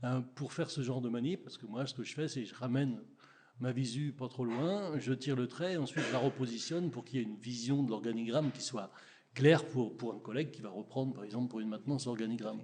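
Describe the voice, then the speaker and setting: Over light background noise, a man talks at a very fast pace in a medium pitch with ordinary pitch variation. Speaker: audience member, software user; audience member. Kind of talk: audience question. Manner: halting. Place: meeting room.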